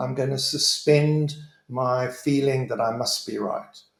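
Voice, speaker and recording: With audible room echo, the speaker proceeds at a fairly slow pace. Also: man. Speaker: leadership trainer. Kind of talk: online presentation.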